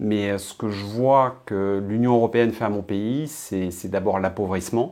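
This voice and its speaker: Fairly slow and fairly low in pitch, a man talks with fairly even intonation and a dark, mellow tone. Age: 50s. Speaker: political essayist and blogger. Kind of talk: interview. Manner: hesitant with frequent fillers.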